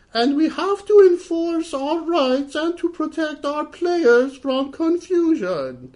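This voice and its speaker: This is a put-on character voice with an extremely high pitch. It sounds squeaky. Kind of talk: formal corporate statement.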